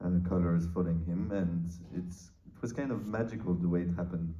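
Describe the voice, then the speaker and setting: A man with a French accent, very deep, low pitch and a dark, mellow tone, talking at a fairly quick pace amid audible room echo. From France. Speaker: film co-writer and producer. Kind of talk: interview. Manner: halting, many fillers.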